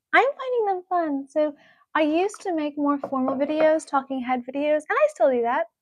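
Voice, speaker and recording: The woman's high-pitched voice carries lively intonation at a moderate pace, with a dry, close sound and no echo. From US New England, Rhode Island. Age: 30s. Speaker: beauty and self-improvement YouTuber. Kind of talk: live stream chat and tutorial. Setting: live stream at home. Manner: casual, chatty.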